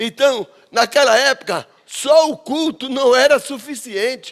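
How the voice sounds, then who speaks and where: Extremely high in pitch, a man talks at a fairly slow pace. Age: 70s. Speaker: pastor. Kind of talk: sermon.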